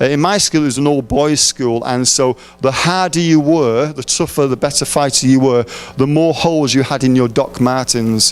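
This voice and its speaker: With an English accent, a man of medium pitch speaks at a moderate pace with fairly even intonation over noticeable background noise. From England. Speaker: preacher. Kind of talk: sermon. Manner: mumbling; halting.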